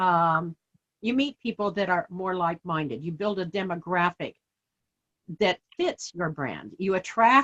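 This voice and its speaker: Lively intonation marks this woman's speech at medium pitch. She talks at a fairly slow pace, with a dry, close sound and no echo. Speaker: artist and small business owner. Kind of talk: interview. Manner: halting, repeats words.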